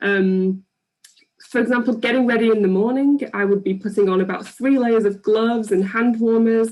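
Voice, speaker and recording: At a moderate pace, a woman with an English accent speaks at a fairly high pitch, with fairly even intonation and very even loudness. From England. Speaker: PhD researcher. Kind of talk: public science talk. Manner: hesitant with many ums.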